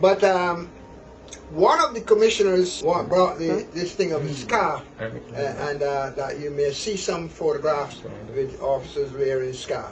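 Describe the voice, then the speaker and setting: A man speaks at a fairly slow pace in a high voice with ordinary pitch variation. Background noise is noticeable, and room echo is audible. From Barbados. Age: 80s+. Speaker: retired police officer. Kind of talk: interview testimony. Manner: halting.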